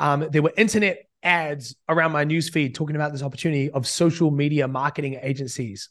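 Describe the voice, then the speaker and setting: Fairly quick speech in an American accent, with ordinary pitch variation and hardly any pauses. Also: man, fairly high pitch for a man. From New Zealand. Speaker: business coach. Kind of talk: casual interview.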